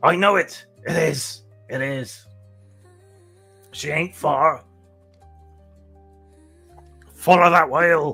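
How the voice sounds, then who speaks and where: Putting on a raspy character voice, a man speaks very slowly at a fairly high pitch with ordinary pitch variation and long, frequent pauses, as faint music plays in the background. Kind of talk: nautical dialect. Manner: silly, exaggerated.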